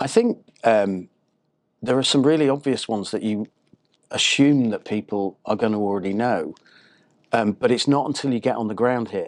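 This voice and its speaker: At a moderate pace, a man with a British accent talks with long, frequent pauses. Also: medium pitch for a man, ordinary pitch variation, quiet background. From northern England, Harrogate near Leeds. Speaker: marketing consultant. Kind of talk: interview.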